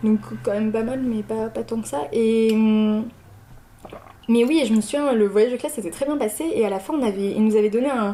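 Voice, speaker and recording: Fairly high pitch from a woman, with ordinary pitch variation and a moderate pace. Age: 20s. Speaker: interviewee, former student. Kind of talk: casual interview. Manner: hesitant, many fillers.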